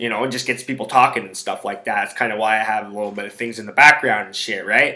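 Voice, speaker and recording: A man talks with a bright, sharp tone. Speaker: sports handicapping podcaster. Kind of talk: casual solo podcast monologue. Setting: home recording. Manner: loud.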